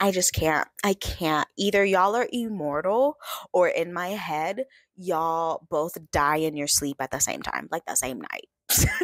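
In an American accent, a woman speaks fairly slowly at a fairly low pitch with lively intonation and an animated tone, the sound dry with no echo and the background quiet. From West Texas. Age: 20s. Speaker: book content creator. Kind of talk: casual vlog monologue. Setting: home recording, screen recording. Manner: animated, laughing. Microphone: webcam.

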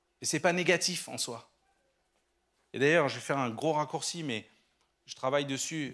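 A man's fairly high-pitched voice at a fairly quick pace, over a quiet background. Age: 50s. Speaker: entrepreneur and guest speaker; guest. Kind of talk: sermon. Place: church. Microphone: handheld.

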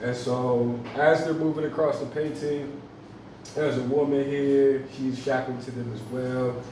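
A man speaks at a moderate pace in a flat, monotone delivery. Light background noise and some room echo are audible. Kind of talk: artist talk about own painting. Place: cafe. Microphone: camera far.

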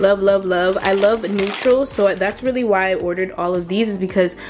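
With clear music in the background, a woman speaks with ordinary pitch variation. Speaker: lifestyle vlogger. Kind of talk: casual product review chat. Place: home room.

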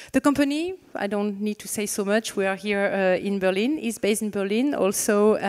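A woman with a French accent, ordinary pitch variation, and a quiet background. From France. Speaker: panel moderator and marketing consultant. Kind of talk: moderated fireside chat. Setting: stage with audience. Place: stage. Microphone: handheld.

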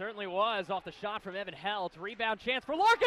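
An animated, excited tone comes from a man speaking over noticeable background noise. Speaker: sports broadcaster. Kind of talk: live sports play-by-play commentary. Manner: animated, excited, punchy calls that rise to a shout on goals and dunks.

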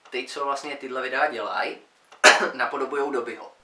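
The reading voice is natural. Words come across as read from a page.

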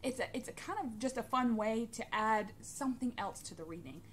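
A woman talks at a moderate pace. Light background noise sits behind her. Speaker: tarot hobbyist vlogger. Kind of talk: casual vlog chat. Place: home room. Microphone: phone near.

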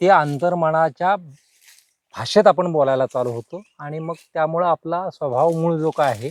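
The recording is dry and close with no echo as a man with an ordinary speaking voice talks at a fairly high pitch with ordinary pitch variation. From Maharashtra, Solapur district (Pandharpur). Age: 50s. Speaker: farmer. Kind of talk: interview.

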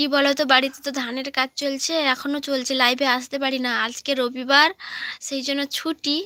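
In a raised, projected voice, a woman speaks at a high pitch with a bright, sharp tone and a dry, close sound free of echo. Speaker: live-stream vlogger. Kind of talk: casual chat. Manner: animated.

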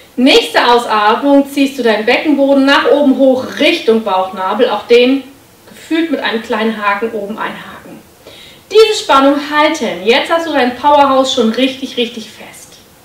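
With audible room echo, a woman speaks at a moderate pace in a high pitch, her loudness swinging widely. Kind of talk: exercise tutorial instruction. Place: home room.

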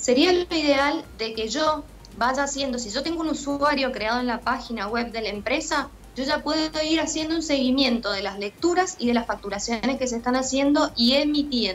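With faint background noise present, a woman speaks at a high pitch and a fairly quick pace, using ordinary pitch variation and few pauses.

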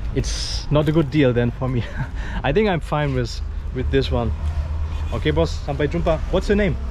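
Over light background noise, a man speaks at a moderate pace in a dry sound with no echo. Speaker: travel vlogger. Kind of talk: casual vlog chat and bargaining. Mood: joking, playful. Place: shop. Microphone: phone near.

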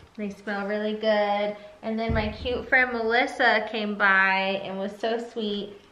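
A woman's bright, sharp tone at a fairly high pitch, flat and monotone, with audible room echo. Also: fairly slow pace. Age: 30s. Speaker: vlogger. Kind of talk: casual chat. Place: home room. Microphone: phone near.

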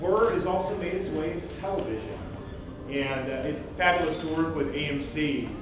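Strong room echo and noticeable background noise fill the recording. A man speaks at a moderate pace with ordinary pitch variation. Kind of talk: presentation to press. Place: hall.

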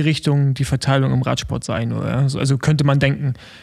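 A man with a fairly high pitch and a normal speaking voice at a moderate pace. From Rostock, eastern Germany. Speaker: podcast co-host, former pro cyclist. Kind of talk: casual chat.

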